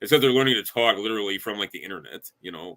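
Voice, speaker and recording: This man talks at a very fast pace in a strong Chicago accent. His tone is bright and sharp, with ordinary pitch variation. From Chicago area, US Midwest. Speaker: podcast guest. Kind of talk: casual chat. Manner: halting, many fillers.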